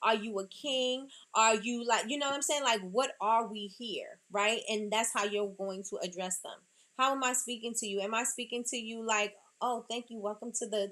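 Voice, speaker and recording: With a New York accent, a woman speaks at a moderate pace in a fairly high, bright, sharp tone with fairly even intonation. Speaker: small business owner giving talk. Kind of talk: motivational business talk.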